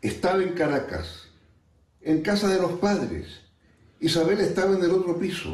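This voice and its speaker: Long, frequent pauses break up a man's high-pitched speech, delivered at a moderate pace with fairly even intonation and audible room echo. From Chile. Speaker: friend sending a recorded message. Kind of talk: recorded tribute.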